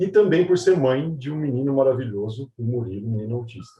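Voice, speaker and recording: His voice sits at a medium pitch with a dark, mellow tone. The man sounds somewhat breathy and uses lively intonation. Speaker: panel moderator, R&D director. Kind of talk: moderated webinar introduction.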